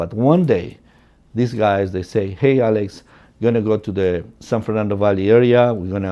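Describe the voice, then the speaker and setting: This man speaks with a Spanish accent at a moderate pace and a fairly low pitch, with ordinary pitch variation. His tone is dark and mellow, and the background is quiet. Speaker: real estate agent. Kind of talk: personal storytelling. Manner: casual, many fillers.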